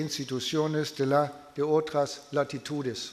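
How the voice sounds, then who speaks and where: A man with a non-native accent at a very slow pace, amid audible room echo and noticeable background noise. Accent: foreign (non-native Spanish). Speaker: political science professor. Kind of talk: lecture read aloud. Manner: halting.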